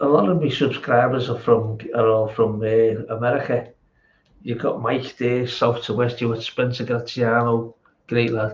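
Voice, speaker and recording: Speaking at a fairly slow pace, a man uses a medium pitch and flat, monotone intonation. His voice is somewhat breathy. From England. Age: 60s. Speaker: amateur bodybuilder vlogger. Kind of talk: casual chat. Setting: home gym. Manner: halting.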